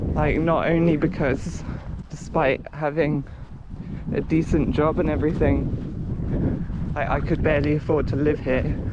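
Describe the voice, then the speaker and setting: Amid noticeable background noise and audible room echo, a man with a fairly high voice speaks fairly slowly in a flat monotone at very even loudness. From Cornwall, England. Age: adult. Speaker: vlogger, runner. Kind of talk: casual vlog monologue. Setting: outdoors on coast path.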